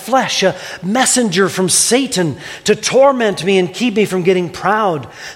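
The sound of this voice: The pitch varies in an ordinary way as this unforced reading voice goes on.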